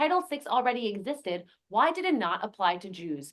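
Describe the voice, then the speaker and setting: A woman's high voice with very wide pitch swings. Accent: New Jersey. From New Jersey. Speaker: lawyer and activist. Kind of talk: panel talk. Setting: conference meeting with in-person and online audience.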